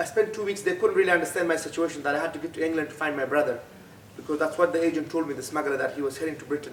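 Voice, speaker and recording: A man talks at a very fast pace. He has a Pashto accent. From Afghanistan. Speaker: refugee and author. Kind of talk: talk to students. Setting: school event with audience. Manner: halting.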